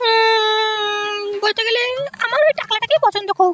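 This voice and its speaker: A woman puts on a cartoonish character voice. Its pitch is extremely high. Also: moderate pace. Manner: coy, polite.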